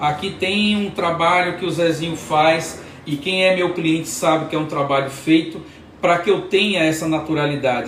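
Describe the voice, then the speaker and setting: Amid noticeable background noise and audible room echo, a man with a high pitch speaks in an animated tone at a moderate pace. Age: 60s. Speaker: hair prosthesis specialist and hairdresser. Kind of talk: product demonstration tutorial; motivational talk. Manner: animated, repetitive emphasis; halting with false starts.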